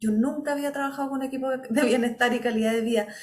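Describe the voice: A woman's high-pitched, slightly mellow voice at a very fast pace, with fairly even intonation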